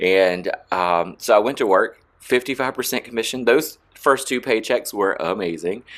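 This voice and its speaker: In a quiet background, a man with an American accent and an unremarkable speaking voice talks at a fairly slow pace with hardly any pauses, using a medium pitch and ordinary pitch variation. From South Carolina. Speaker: salon owner and educator. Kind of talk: interview.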